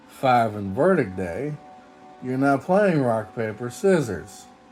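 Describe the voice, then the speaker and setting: Very slow male speech with very wide pitch swings, music playing behind. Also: long, frequent pauses. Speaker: game reviewer. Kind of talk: casual game review talk.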